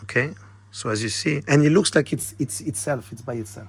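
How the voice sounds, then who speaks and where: In a French accent, a man speaks at a moderate pace, his voice somewhat breathy. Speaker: magician. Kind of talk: tutorial. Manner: casual, slightly halting.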